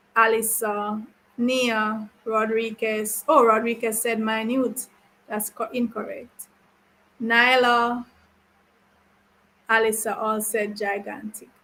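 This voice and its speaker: Speech comes at a very slow pace with long, frequent pauses. The tone is bright and sharp, the intonation monotone and flat. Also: woman, fairly high pitch for a woman. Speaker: teacher. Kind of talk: online class. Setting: live stream class.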